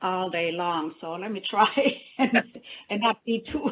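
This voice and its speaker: The intonation is lively. The pace is fairly slow. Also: woman. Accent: German. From Germany. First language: German. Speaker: funding program officer. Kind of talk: panel discussion.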